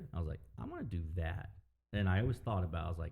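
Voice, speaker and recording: A man's very deep, low voice with vocal fry, a dark, mellow tone and ordinary pitch variation. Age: 30s. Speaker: DJ and record collector. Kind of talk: casual chat. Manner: casual, halting with fillers.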